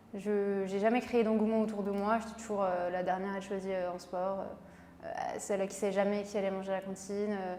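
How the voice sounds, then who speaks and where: A woman of medium pitch talks in a monotone, flat intonation at a fairly quick pace, with audible room echo and noticeable background noise. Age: 20s. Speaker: beauty pageant winner and pharmacist. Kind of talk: interview.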